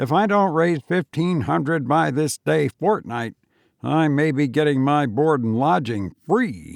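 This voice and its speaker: In a put-on character voice, a man uses a fairly high pitch and lively intonation at a fairly slow pace, with very even loudness and a dry, close sound with no echo in a very clean recording over a silent background. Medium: read story. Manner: flippant, sly.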